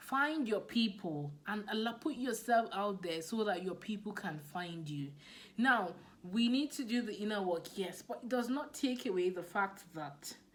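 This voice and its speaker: A woman speaks with a Nigerian accent at a moderate pace. Room echo is audible. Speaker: business coach. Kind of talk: motivational talk. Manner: animated.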